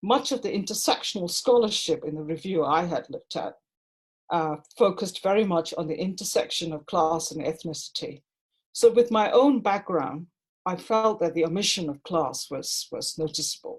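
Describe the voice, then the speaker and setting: The voice is somewhat breathy, with lively intonation at a moderate pace. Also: woman, medium pitch for a woman. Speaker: doctoral researcher. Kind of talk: conference panel talk.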